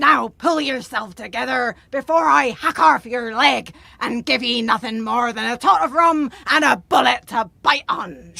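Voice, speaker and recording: The voice is a put-on character voice that sounds female. It moves at a moderate pace. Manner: threatening.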